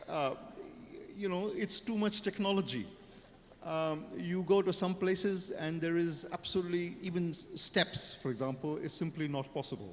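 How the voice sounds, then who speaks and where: A man's voice, high in pitch, with ordinary variation. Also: moderate pace. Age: 60s. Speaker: panelist. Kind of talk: panel discussion. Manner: hesitant, with fillers and repetitions.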